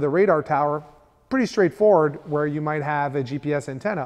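Against a quiet background, a man talks at a fairly quick pace. His pitch varies in an ordinary way. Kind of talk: tutorial. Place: studio.

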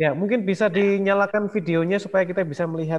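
The speaker is a man talking at a fairly quick pace. The background is quiet. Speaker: webinar moderator. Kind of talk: moderated webinar discussion. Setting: video call. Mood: friendly, smiling. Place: home room. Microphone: earbuds.

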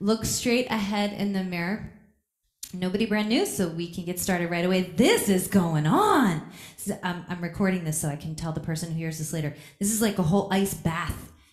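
Over a quiet background, a woman talks at a fairly quick pace, with audible room echo. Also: medium pitch for a woman, ordinary pitch variation. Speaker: yoga teacher. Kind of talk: casual chat with class. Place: gym.

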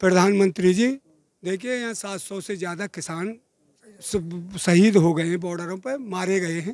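Here a man is speaking. His pace is fairly slow. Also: dry sound with no echo. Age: 70s. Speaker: farmer at a protest; interviewee. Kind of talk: street interview. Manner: animated. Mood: angry political criticism. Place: street. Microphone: handheld.

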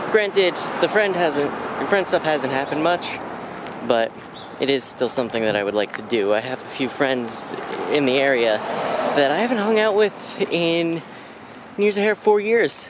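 Speaking at a moderate pace with long, frequent pauses, a man is heard in a dry sound with no echo over noticeable background noise. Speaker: vlogger. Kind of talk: casual vlog chat. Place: street. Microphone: phone near.

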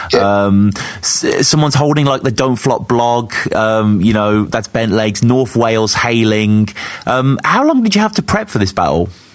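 A man's medium-pitched voice, with ordinary rises and falls in pitch, proceeds fairly slowly against noticeable background noise. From West Midlands, England (Sutton Coldfield). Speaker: podcast host. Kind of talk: casual interview.

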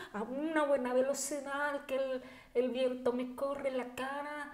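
A woman speaks fairly slowly at a high pitch with ordinary pitch variation. Audible room echo surrounds her voice. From Mexico, Chihuahua (Bachíniva, Cuauhtémoc); Chihuahua, Mexico. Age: 40s. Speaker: deaf athlete and entrepreneur; podcast guest. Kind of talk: interview. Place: home room.

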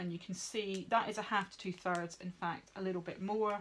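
With light background noise, the speaker talks at a moderate pace with fairly even intonation. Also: woman. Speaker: veterinary nurse instructor. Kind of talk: tutorial. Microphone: phone near.

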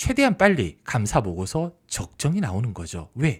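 Very wide pitch swings from a somewhat breathy man, on a very clean recording with a silent background. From Busan, South Korea. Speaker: stock market YouTuber, former journalist. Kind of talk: solo market commentary.

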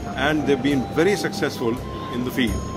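Clear music in the background behind a man's voice. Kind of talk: interview answer. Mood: calm, formal. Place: hall. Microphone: phone near.

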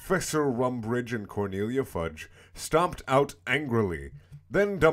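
Someone reads aloud in a natural voice, and the intonation is lively.

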